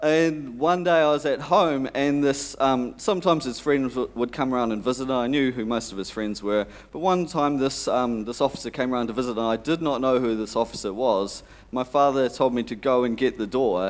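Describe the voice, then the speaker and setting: Moving at a fairly quick pace with hardly any pauses, a man speaks with ordinary pitch variation. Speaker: conference presenter. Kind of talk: conference talk with anecdote. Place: hall.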